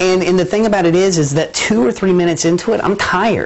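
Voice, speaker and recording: Against noticeable background noise, a man with an American accent talks very fast at a high pitch, with ordinary pitch variation and very even loudness. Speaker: TV show host. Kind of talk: local TV lifestyle show hosting. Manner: upbeat, playful.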